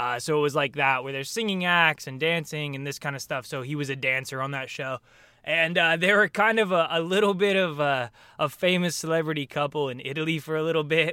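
At a fairly quick pace, a man talks in a bright, sharp tone, fairly high in pitch, with ordinary pitch variation. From US Pacific Northwest, Portland area, Oregon. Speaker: actor. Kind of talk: casual chat. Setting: video call.

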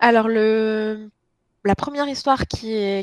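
A woman talks at a moderate pace in a normal speaking voice, fairly high in pitch and fairly even in intonation. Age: 30s. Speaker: book blogger. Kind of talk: casual chat.

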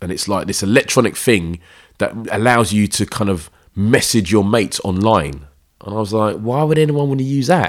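A man with a South London accent, a fairly low pitch and lively intonation, at a moderate pace on a very clean recording with a silent background. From South London, East Dulwich/Peckham. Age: 40s. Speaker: running crew founder, DJ and poet. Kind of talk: casual interview chat.

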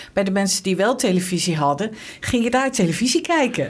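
A very fast pace over noticeable background noise. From Netherlands, Arnhem. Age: 60s. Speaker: local politician. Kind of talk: interview.

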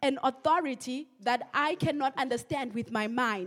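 A woman with a German accent speaks at a high pitch with ordinary pitch variation. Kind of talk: sermon. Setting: church.

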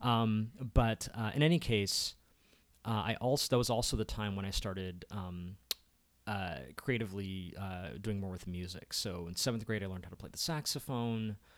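A man with an American accent and a plain, everyday voice talks at a moderate pace, his fairly low pitch moving with ordinary variation while his loudness swings widely. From Maryland, Baltimore County. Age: 40s. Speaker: filmmaker and content strategist. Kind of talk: casual chat.

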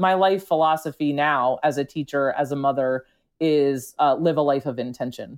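A woman's very deep, low voice with an American accent and fairly even intonation, over a quiet background. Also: moderate pace. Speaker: teacher and military spouse. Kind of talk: personal testimony in a podcast interview.

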